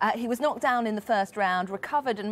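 Ordinary pitch movement from a woman speaker. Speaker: news reporter. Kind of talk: news report. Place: studio. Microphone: lapel.

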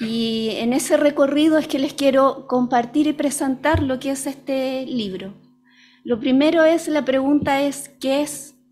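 A woman talks at a fairly slow pace with a high pitch and fairly even intonation. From Chile. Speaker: early childhood educator and doula; early childhood educator. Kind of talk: book presentation talk. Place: hall. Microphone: podium.

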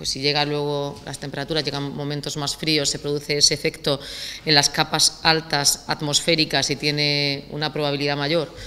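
At a moderate pace, a woman speaks in a bright, sharp tone with a very deep, low pitch. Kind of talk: press statement. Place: hall. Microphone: podium.

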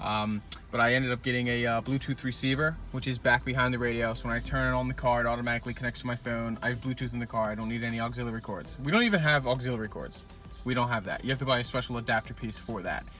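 Over faint background music, a man talks at a very fast pace with fairly even intonation, the sound dry with no echo. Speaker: car mod vlogger. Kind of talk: casual vlog chat. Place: car. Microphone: phone near.

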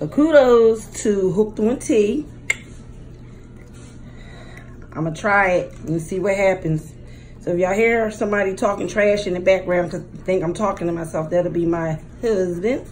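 With light background noise behind her, a woman talks at a moderate pace with ordinary pitch variation and long, frequent pauses. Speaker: mukbang vlogger. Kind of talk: casual vlog chat. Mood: warm, a bit nervous. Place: home room. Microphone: phone near.

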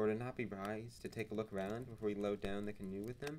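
Fairly even intonation in plain reading aloud

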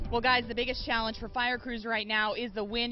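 A woman's high-pitched voice, dry with no echo, over light background noise. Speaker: field news reporter. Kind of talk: live news report. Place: street. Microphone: handheld.

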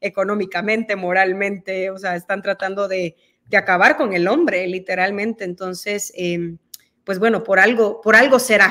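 Speaking in a Mexican accent at a moderate pace, a woman keeps a medium pitch and fairly even intonation over a quiet background. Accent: quite Mexican-sounding Spanish. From El Salvador. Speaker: guest. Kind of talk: interview. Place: home room.

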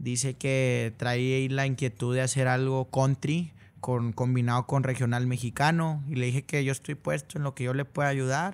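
A man speaks at a moderate pace with hardly any pauses. His loudness stays very even and his intonation fairly even. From Monterrey, northern Mexico; Mexico. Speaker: regional Mexican singer; guest. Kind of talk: casual interview. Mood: relaxed, friendly. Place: studio. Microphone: studio mic.

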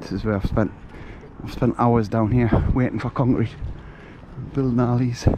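A man with a Geordie accent at a medium pitch, monotone and flat, a moderate pace with long, frequent pauses, dry sound with no echo and light background noise. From northern England, Newcastle. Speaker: vlogger. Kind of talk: walking vlog. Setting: outdoors. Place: waterside. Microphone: phone near.

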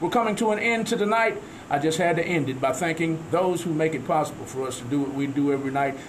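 A man's fairly high, lively voice at a very fast pace, over noticeable background noise. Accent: Southern US. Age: 50s. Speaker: radio host. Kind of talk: casual chat. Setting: studio.

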